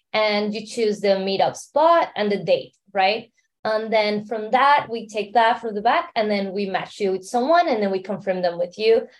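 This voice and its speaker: Speaking at a moderate pace with a Mexican accent, this voice uses ordinary pitch variation and hardly any pauses. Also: woman, fairly high pitch for a woman. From Mexico City, Mexico. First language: Spanish. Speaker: startup founder and entrepreneur. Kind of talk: interview.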